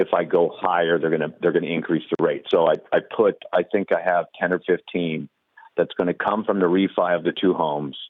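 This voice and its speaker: A man at a fairly quick pace, his loudness very even. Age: 60s. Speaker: caller. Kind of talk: call-in question. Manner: halting, many fillers.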